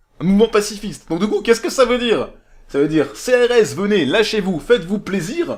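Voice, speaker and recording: With very wide pitch swings and an animated tone, a man talks at a fairly quick pace. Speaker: political commentator. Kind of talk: monologue rant. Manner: halting, stammering.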